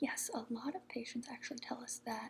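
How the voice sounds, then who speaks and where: Soft-spoken, a woman talks in a high pitch. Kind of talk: ASMR roleplay, soft-spoken role-play as a medical professional.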